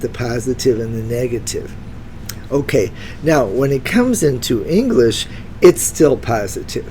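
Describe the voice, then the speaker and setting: A woman's very deep, low voice, fairly slow, with lively intonation and noticeable background noise. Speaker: retired teacher. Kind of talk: educational vocabulary talk to camera. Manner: casual, enthusiastic.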